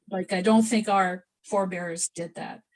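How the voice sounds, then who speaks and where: A woman speaks at a moderate pace and a medium pitch. Her voice is somewhat breathy. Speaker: pysanky artist demonstrating egg decorating. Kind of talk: live demonstration over video call. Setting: video call. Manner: mumbling, a bit quiet; casual, halting with self-corrections. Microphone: too quiet.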